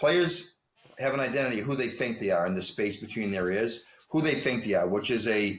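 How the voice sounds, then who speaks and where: With an American accent, a man uses an unremarkable speaking voice at a medium pitch and a moderate pace. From US Northeast. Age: 60s. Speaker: hockey coach. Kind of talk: interview.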